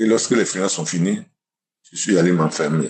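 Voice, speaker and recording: Very deep and low, a man's voice carries vocal fry and ordinary pitch variation. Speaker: testimony giver. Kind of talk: testimony.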